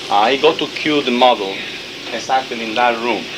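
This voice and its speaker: A man's medium-pitched voice with a non-native accent and fairly even intonation, plus audible room echo and noticeable background noise. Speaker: fashion designer. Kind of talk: backstage briefing to models.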